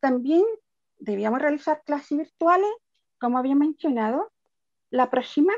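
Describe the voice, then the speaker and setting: A woman with a high pitch and lively intonation speaks at a moderate pace with long, frequent pauses, in a dry, close recording without echo. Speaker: deaf special education teacher. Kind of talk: webinar presentation. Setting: online webinar.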